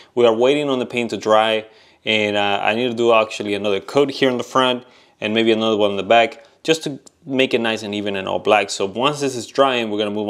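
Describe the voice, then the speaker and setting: Fairly even in intonation, a man speaks at a very fast pace. The background is quiet. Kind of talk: tutorial. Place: garage. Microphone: phone near.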